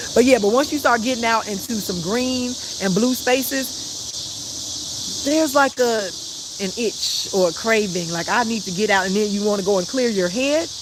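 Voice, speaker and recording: With an American accent, the speaker keeps a moderate pace but leaves long, frequent pauses, and noticeable background noise runs underneath. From Chicago, South Side. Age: 50s. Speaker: life coach. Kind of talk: live stream talk. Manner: casual, chatty.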